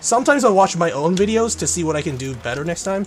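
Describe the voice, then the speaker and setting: A man rattles off his words at a very fast pace, with noticeable background noise around him. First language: Korean. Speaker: gaming streamer. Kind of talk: casual live-stream commentary while gaming.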